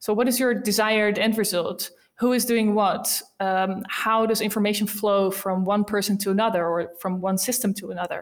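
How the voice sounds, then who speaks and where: A woman's medium-pitched, monotone voice in a Dutch accent, flat in intonation, at a moderate pace with hardly any pauses. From Netherlands, Rotterdam. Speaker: sales enablement team lead. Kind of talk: interview.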